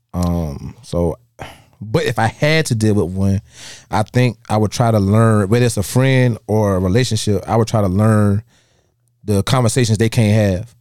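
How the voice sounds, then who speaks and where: This very clean recording has a silent background. A man speaks at a moderate pace, his fairly low pitch showing ordinary variation. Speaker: podcast host. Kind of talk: casual banter, podcast chat. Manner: laid-back, joking, profane.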